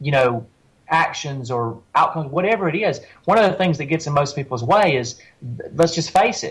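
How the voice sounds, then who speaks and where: Fairly quick in pace, a man speaks with lively intonation. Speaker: life coach and author. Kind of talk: interview conversation. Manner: halting, many restarts.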